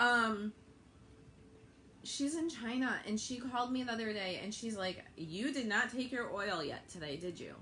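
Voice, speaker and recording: Over noticeable background noise and audible room echo, a woman speaks at a fairly high pitch in an animated tone with lively intonation. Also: moderate pace. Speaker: network marketing seller. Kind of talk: livestream sales pitch. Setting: live video stream.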